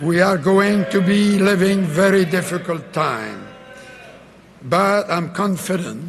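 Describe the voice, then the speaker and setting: Noticeable background noise surrounds a man speaking at a high pitch. He goes very slowly, with fairly even intonation. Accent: Quebec. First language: French. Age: 80s+. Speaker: former prime minister. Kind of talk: political convention speech. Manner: feisty.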